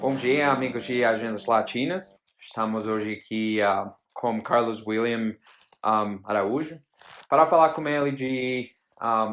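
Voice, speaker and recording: In a non-native accent, a man talks at a fairly slow pace with ordinary pitch variation. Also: medium pitch for a man. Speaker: interviewer. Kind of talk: interview. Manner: halting.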